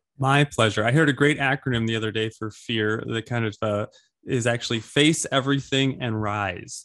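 A man's unremarkable speaking voice at medium pitch, moderate pace, fairly even intonation, on a very clean recording with a silent background. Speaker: podcast host. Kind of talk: interview.

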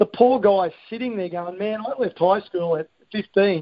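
With an Australian accent, this man speaks at a high pitch with ordinary pitch variation. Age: 50s. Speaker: sports coaching consultant. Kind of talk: presentation on a conference call. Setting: conference call.

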